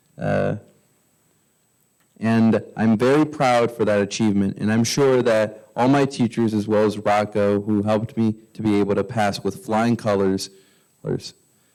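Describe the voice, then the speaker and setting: A man's plain, everyday voice, fairly low in pitch, at a moderate pace with fairly even intonation, on a very clean recording with a silent background. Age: 20s. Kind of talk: prepared public speech. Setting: council meeting, at microphone.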